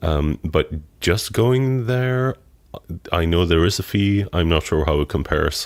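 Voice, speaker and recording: Very wide pitch swings mark this man's very deep, low voice as he talks at a fairly slow pace. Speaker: podcast co-host. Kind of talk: casual chat. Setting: studio with microphones, on a couch.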